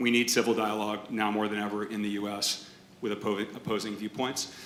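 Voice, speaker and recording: A man's fairly low, monotone, flat voice with an American accent, over noticeable background noise. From Massachusetts. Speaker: podcast host and entrepreneur. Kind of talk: panel debate. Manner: loud.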